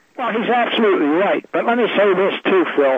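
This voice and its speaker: Noticeable background noise behind a man's lively intonation. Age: 80s+. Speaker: guest, activist. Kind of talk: radio interview.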